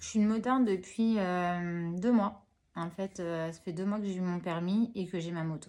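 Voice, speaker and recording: A woman's dark, mellow voice at a medium pitch, moderate pace and big swings in loudness. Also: fairly even intonation. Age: 30s. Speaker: hospital worker and new motorcyclist. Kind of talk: interview. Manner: hesitant, many fillers.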